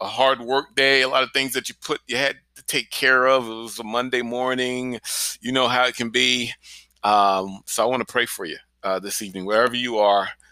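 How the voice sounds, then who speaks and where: A man's bright, sharp tone comes through with fairly even intonation in a dry, close recording with no echo. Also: medium pitch for a man, moderate pace. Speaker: pastor. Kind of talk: fervent prayer; podcast devotional. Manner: fervent, earnest; warm, encouraging.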